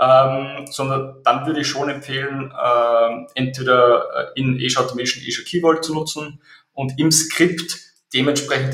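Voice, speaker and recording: At a moderate pace, a man talks at a medium pitch in a monotone, flat intonation, with audible room echo. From Austria. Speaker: software company CEO. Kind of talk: interview. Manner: hesitant, many fillers and repetitions.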